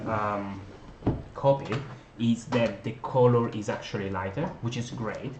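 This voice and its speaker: A man with a non-native accent speaks at a medium pitch and a fairly slow pace. Noticeable background noise and audible room echo are present. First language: not English. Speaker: board game designer and publisher. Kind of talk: unboxing video, casual talk to viewers. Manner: hesitant, many fillers.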